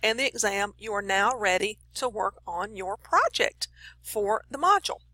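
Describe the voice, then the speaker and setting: Here a woman has an unremarkable speaking voice with a fairly high pitch and lively intonation. She keeps a moderate pace, and the sound is dry and close with no echo. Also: big swings in loudness. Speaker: college instructor. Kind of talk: tutorial.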